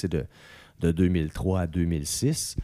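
A man with a Quebec accent speaks in a very deep, low voice with a dark, mellow tone, recorded very cleanly against a silent background. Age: 40s. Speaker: radio host. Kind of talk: casual chat. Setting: at home.

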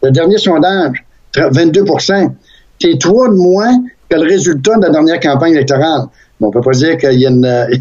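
A man with a Quebec accent speaks at a moderate pace in a fairly high voice, his intonation lively, his loudness very even, and his speech broken by long, frequent pauses. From Saguenay, Quebec. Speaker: radio host and former politician. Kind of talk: casual interview.

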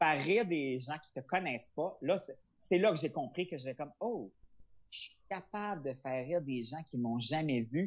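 In an ordinary speaking voice, a man talks at a moderate pace with a fairly high pitch and lively intonation against a quiet background. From Quebec, Charlevoix. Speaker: comedian. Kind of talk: interview.

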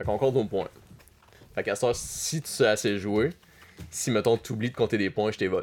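A man at a moderate pace, with ordinary pitch variation and long, frequent pauses. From Quebec, Abitibi. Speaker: podcast guest. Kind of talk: casual chat.

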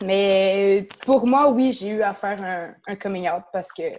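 Her voice has a dark, mellow tone and fairly high pitch, with ordinary pitch variation. The woman speaks at a fairly slow pace against a quiet background. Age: 20s. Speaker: karate instructor and dojo co-owner. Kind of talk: interview.

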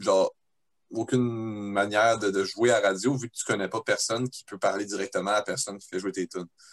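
A man talks at a fairly quick pace with fairly even intonation, his loudness swinging widely, the sound dry and close with no echo. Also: fairly low pitch for a man. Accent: Quebec. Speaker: band member. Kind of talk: casual chat.

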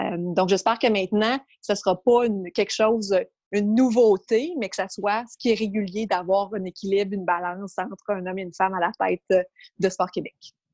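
An unremarkable speaking voice moves at a moderate pace with ordinary pitch variation. The sound is dry and close, with no echo. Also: woman. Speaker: sports administrator. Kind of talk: casual interview.

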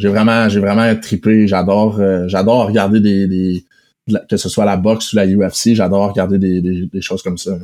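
At a moderate pace, a man talks in a monotone, flat intonation with a fairly low pitch and a dark, mellow tone. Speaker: professional hockey player. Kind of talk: casual interview. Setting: remote recording.

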